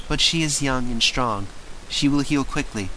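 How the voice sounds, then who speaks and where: Over clear background noise, a man puts on a character voice at a medium pitch and a moderate pace. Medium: read story. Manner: calm, gentle.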